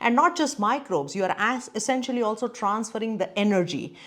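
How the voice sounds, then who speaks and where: With a Gujarati accent, a woman talks fairly quickly at a fairly high pitch with lively intonation, on a very clean recording with a silent background. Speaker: neurologist and brain coach. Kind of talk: educational talk to camera.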